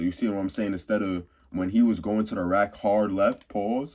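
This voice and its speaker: Moving at a fairly quick pace, the man's speech shows ordinary pitch variation. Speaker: basketball commentator YouTuber. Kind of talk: casual commentary vlog. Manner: casual, conversational.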